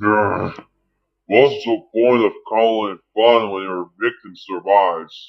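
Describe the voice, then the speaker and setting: Using a put-on character voice, a man talks at a fairly slow pace with a medium pitch. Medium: dub.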